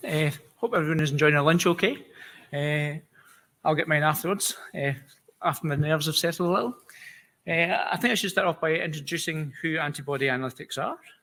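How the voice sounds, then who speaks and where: A man in a Scottish accent talks very fast with a bright, sharp tone, yet leaves long, frequent pauses. The recording is very clean, with a silent background. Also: fairly high pitch for a man, ordinary pitch variation. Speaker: immunology scientist. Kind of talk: conference presentation. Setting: conference stage with audience. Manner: hesitant, many fillers.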